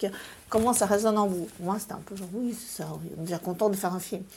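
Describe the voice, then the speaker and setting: A woman is speaking. Her pace is fairly quick. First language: Russian (speaking French). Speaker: film director and screenwriter. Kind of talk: interview.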